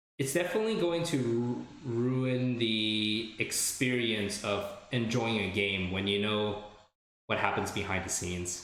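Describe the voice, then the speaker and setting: Medium-pitched male voice at a fairly slow pace, with ordinary pitch variation and audible room echo. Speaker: video game streamer. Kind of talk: casual chat. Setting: live stream. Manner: loud.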